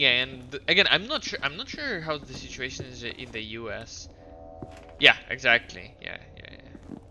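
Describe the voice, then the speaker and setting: Music plays in the background as a man speaks at a moderate pace and medium pitch, with ordinary pitch variation and big swings in loudness. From Russia. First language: Russian. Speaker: video game streamer. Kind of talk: casual chat. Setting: live stream. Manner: halting.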